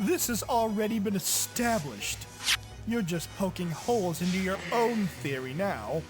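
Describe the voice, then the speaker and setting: Over loud music in the background, a put-on character voice at a middle pitch moves at a moderate pace. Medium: machinima. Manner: haughty, indignant.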